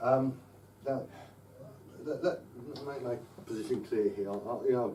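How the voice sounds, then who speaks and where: A man of medium pitch speaks with an English accent, with audible room echo and noticeable background noise. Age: 60s. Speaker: political speaker. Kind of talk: public address. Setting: live talk to audience. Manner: halting, many repetitions.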